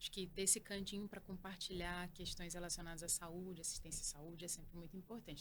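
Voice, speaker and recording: Medium in pitch, this woman's voice is somewhat breathy. She speaks at a very fast pace. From Northeast Brazil, Alagoas. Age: 30s. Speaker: oncologist and professor. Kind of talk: interview.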